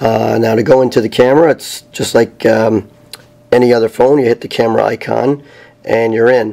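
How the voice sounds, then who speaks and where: With noticeable background noise behind him, a man at medium pitch talks at a fairly quick pace and with fairly even intonation. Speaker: tech reviewer. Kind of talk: tutorial. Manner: hesitant, many fillers.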